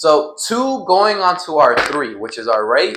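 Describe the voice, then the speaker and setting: A man is speaking. His pace is fairly slow. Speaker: dance instructor. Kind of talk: tutorial. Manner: counting rhythmically, instructive.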